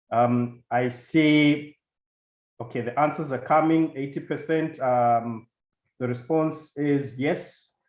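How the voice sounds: Speaking slowly at a medium pitch, a man has a slightly mellow tone, and some room echo can be heard.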